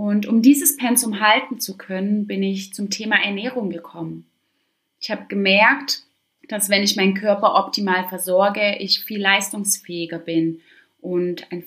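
A plain, everyday voice from a woman at medium pitch, with big swings in loudness, ordinary pitch variation and a fairly slow pace. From Stuttgart, southwest Germany. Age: 20s. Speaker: fitness and wellness coach, podcast host. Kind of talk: solo podcast monologue.

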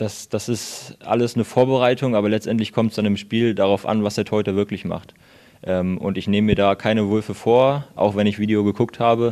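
Fairly quick and monotone, a man's fairly low voice carries a dark, mellow tone. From Lower Saxony, Hildesheim. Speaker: handball player. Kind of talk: interview. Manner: hesitant, many fillers.

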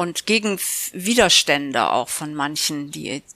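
A woman's bright, sharp voice, very deep and low in pitch, with vocal fry, at a fairly slow pace, in a dry, close sound with no echo. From Oldenburg, northern Germany. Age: 70s. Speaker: author and reading club co-founder. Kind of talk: casual interview. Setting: in her living room.

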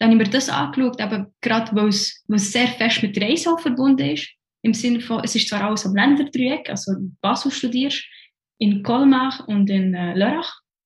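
In a Bernese accent, a woman speaks at a moderate pace, her fairly high voice carrying lively intonation. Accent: Bernese Swiss German. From Switzerland, Bern. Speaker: former banker, podcast guest. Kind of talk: casual interview chat. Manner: halting, many fillers and restarts.

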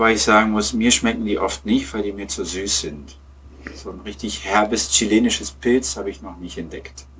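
Lively intonation and big swings in loudness mark a man's speech at a moderate pace. He has a fairly low pitch and a plain, everyday voice. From Lower Saxony, Germany (Peine). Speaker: German teacher and football fan. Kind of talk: casual interview. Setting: remote online call.

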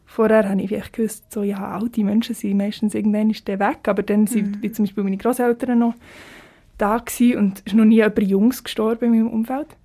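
This woman talks at a very fast pace with a fairly high pitch, a dark, mellow, somewhat breathy tone, and monotone, flat intonation. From Switzerland, Biel (Seeland). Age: 20s. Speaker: singer-songwriter, music student. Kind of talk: casual interview.

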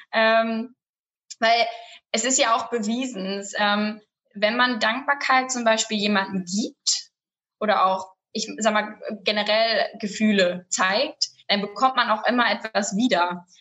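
Her pitch sits fairly high, and her intonation stays fairly even. The woman speaks at a very slow pace. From Lower Saxony, near Bremen-Oldenburg. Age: 20s. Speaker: family business representative and student. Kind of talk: interview. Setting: studio.

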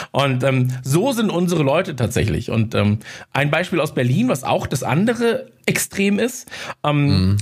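Somewhat breathy and very even in loudness, a man's fairly high voice moves at a fairly slow pace with very wide pitch swings. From Munich, Bavaria. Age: 30s. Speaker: podcaster. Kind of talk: casual interview chat.

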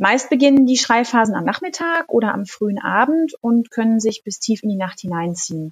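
With hardly any pauses, a woman speaks at a moderate pace in a fairly high, somewhat breathy voice with lively intonation, the sound dry and close with no echo. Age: 40s. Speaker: midwife and pharmacist. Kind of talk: expert interview.

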